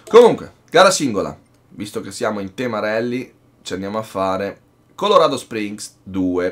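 A man speaks in a normal speaking voice at a fairly low pitch and a moderate pace, with ordinary pitch variation. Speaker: gaming youtuber. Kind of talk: live gaming commentary, casual. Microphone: headset.

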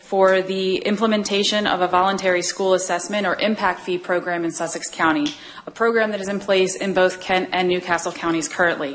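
A woman talks at a fairly quick pace with ordinary pitch variation. Light background noise sits behind her. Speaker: school district official giving public comment. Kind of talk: prepared public comment statement. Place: hall. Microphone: podium.

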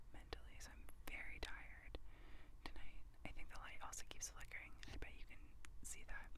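Moderate-paced woman's voice, dry sound with no echo, loud background noise. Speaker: asmr vlogger. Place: car. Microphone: lapel.

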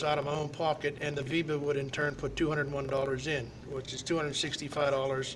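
A man's monotone, flat delivery at a fairly quick pace, with noticeable background noise. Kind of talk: interview answer. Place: hall. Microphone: webcam.

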